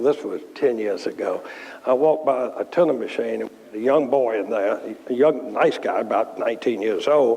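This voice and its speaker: A man with a Virginia accent speaks at a moderate pace. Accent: Southern US (Virginia). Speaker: furniture company chairman. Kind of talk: Q&A talk with anecdotes.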